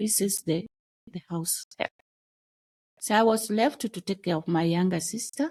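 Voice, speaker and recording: Somewhat breathy speech with ordinary pitch variation comes through dry and close with no echo, broken by long, frequent pauses. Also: woman, medium pitch for a woman, moderate pace. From Kenya, Luo community. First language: Dholuo (Kijaluo). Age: adult mother. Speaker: podcast guest sharing life story. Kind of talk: personal testimony interview. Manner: halting, with restarts.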